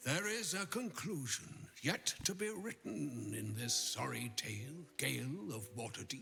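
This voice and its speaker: Music plays in the background as a man speaks in a put-on character voice. His pitch is medium and his pace very slow. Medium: video game. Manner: grave, measured, gently wry.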